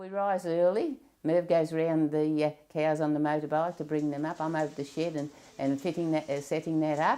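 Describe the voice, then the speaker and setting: At a fairly quick pace, a woman with an Australian accent speaks in a very deep, low voice with a dark, mellow tone and fairly even intonation. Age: 70s. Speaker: dairy farmer. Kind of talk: interview. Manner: halting.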